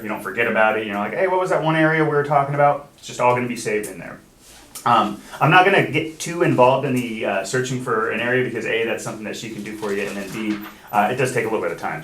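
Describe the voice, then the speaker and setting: Amid noticeable background noise and audible room echo, a man talks at a very fast pace with a medium pitch and ordinary pitch variation. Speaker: software trainer for title company. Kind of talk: training class with screen demo.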